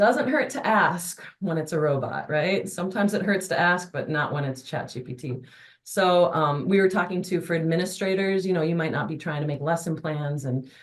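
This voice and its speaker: At a moderate pace, a woman talks in an ordinary speaking voice with a fairly low pitch and ordinary pitch variation. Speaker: adult education instructor and webinar presenter. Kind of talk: webinar presentation.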